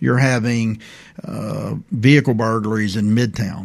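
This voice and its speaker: Speaking with an Alabama accent, a man keeps a medium pitch and fairly even intonation. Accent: US Southern (Alabama). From Prichard, Alabama. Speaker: police chief. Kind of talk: radio interview.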